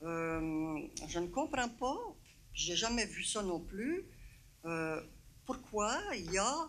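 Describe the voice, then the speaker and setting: A woman at a very slow pace with very wide pitch swings, plus audible room echo. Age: 70s. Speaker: citizen at council question period. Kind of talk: public question at council meeting.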